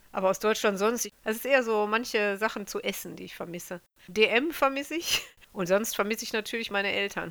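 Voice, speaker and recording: A woman talks in a plain, everyday voice at a fairly high pitch and a fairly quick pace. Her pitch varies in an ordinary way while her loudness swings widely. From Germany. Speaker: mother, interviewee. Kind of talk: interview.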